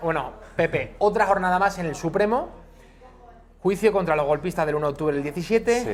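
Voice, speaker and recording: A man with an Andalusian accent talks at a high pitch and a fairly quick pace, with ordinary pitch variation. Long, frequent pauses break up his speech, and there is noticeable background noise. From Andalusia, Spain. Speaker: TV news presenter. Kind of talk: news presenting. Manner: formal.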